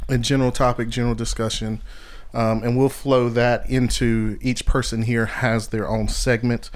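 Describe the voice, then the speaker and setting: In an American accent, a man speaks at medium pitch and a moderate pace. His intonation is monotone and flat. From central North Carolina. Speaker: podcast host, city manager. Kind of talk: casual chat.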